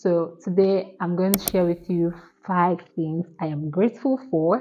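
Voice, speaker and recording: Her voice is an ordinary speaking voice, pitched in the medium range. This woman's delivery is fairly slow. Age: 20s. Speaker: student and video content creator. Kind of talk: casual talk to camera.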